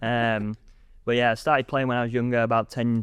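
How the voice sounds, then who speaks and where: Against a quiet background, a man with an English accent talks at a very fast pace. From England, Grimsby. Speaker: squash coach and commentator. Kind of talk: casual chat. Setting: studio.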